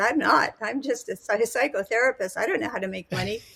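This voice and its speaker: A woman speaks in a raised, projected voice. Her pace is fairly quick. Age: 80s+. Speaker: psychotherapist and teacher. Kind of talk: podcast interview. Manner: animated.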